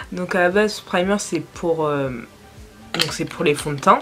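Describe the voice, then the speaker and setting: Over music in the background, a woman speaks at a fairly slow pace and fairly low pitch with ordinary pitch variation. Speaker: beauty vlogger. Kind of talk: casual makeup tutorial talk to camera.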